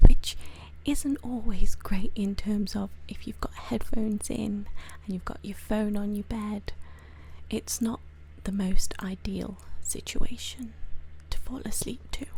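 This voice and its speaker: A woman's soft-spoken whisper at a fairly slow pace, with long, frequent pauses and big swings in loudness. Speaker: ASMR creator. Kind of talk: ASMR explainer, soft-spoken talk to camera. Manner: soft-spoken, whispering.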